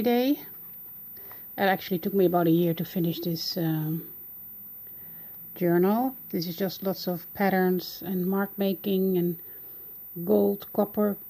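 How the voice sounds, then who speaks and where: Speaking with a Dutch accent, a woman has a medium pitch and a dark, mellow tone. Her pace is fairly slow and her intonation fairly even, with long, frequent pauses. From Netherlands. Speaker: art journaling hobbyist. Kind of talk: casual video walkthrough. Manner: hesitant, many fillers.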